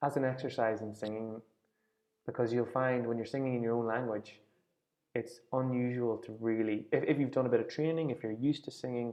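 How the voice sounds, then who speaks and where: In a strong Irish accent, a man talks at a fairly quick pace with a medium pitch and fairly even intonation. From Ireland, near Dundalk on the Louth border. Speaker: folk singing teacher. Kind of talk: online class discussion.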